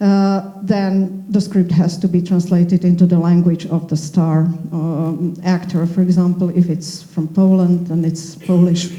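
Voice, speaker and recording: A woman talks in a fairly low, flat monotone. She leaves hardly any pauses. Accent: Slovak. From Slovakia. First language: Slovak. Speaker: panel moderator. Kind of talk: panel discussion.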